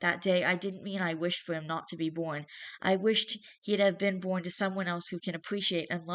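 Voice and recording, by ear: The reading is done aloud in a natural voice, with intonation kept fairly even.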